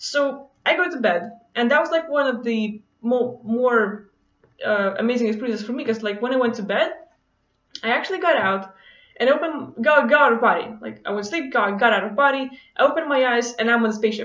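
In a non-native accent, a woman talks fairly quickly at a high pitch with ordinary variation, with audible room echo over a quiet background. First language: not English. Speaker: vlogger. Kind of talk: casual monologue to camera, personal story. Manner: casual, hesitant with many fillers. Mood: relaxed, enthusiastic storytelling. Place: home room. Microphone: webcam.

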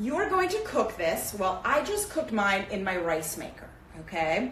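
A woman speaks over light background noise. Her voice carries an audible room echo. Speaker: cooking teacher. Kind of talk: tutorial. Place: kitchen. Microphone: camera far.

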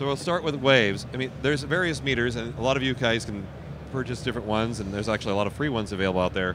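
A man's medium-pitched voice at a fast pace, with ordinary pitch variation

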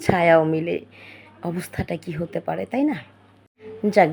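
A woman's unremarkable speaking voice, fairly low in pitch, with ordinary pitch variation. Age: 20s. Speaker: storyteller. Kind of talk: first-person storytelling.

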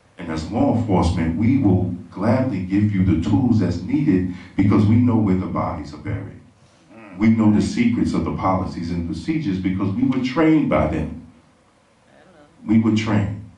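At a moderate pace, a man with a fairly low pitch and lively intonation speaks amid audible room echo. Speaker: speaker. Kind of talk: public speech. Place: stage.

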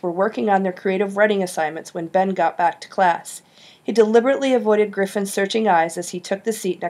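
Natural-voiced reading aloud

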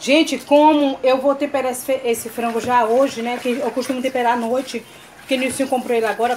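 A woman's high voice at a very fast pace, with light background noise. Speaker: cooking vlogger. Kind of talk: cooking tutorial vlog. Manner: animated. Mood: cheerful, warm. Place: home room.

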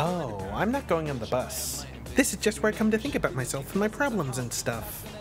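Loud music plays in the background as a cartoonish character voice moves along at a fairly quick pace. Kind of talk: adult animated cartoon voice acting. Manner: self-pitying, oblivious.

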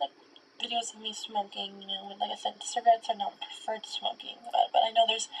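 A woman talks at a fairly quick pace. Her loudness swings widely over light background noise. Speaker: content creator. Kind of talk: casual vlog chat. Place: home room.

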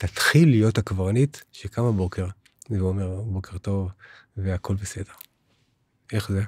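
Over a quiet background, a man with a fairly low pitch sounds somewhat breathy. He speaks at a fairly slow pace with long, frequent pauses, in a dry sound with no echo. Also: fairly even intonation. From Israel. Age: 60s. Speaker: spiritual teacher. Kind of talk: interview. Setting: studio. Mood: calm, warm, persuasive. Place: studio. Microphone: studio mic.

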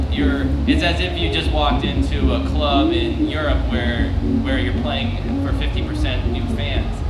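Loud noise fills the background as a man speaks fairly slowly. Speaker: band member on panel. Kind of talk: interview answer. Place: tent. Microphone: handheld.

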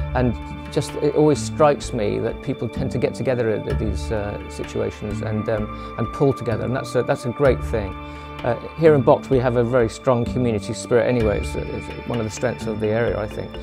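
Over clear music in the background, a man talks with very wide pitch swings and hardly any pauses. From England, Wiltshire. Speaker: retiree and community reserve volunteer. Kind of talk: interview answer. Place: home room.

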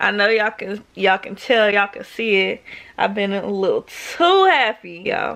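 The background is quiet. Pitch varies in an ordinary way. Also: woman. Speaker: vlogger. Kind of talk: casual vlog chat. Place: home room. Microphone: phone near.

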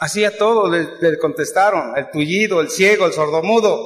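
A man is talking. Lively intonation marks his delivery. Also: quiet background. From Mexico City. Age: 80s+. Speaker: recovering alcoholic speaker at AA event; speaker. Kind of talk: testimony. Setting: stage with audience. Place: hall. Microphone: camera far.

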